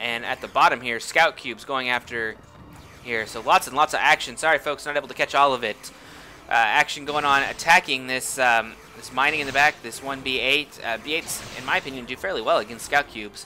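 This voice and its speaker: At a fairly quick pace, a man of medium pitch talks with ordinary pitch variation and big swings in loudness against noticeable background noise. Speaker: game commentator. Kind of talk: live commentary. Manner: fast; animated.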